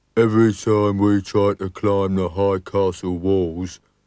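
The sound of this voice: Reading in an unforced voice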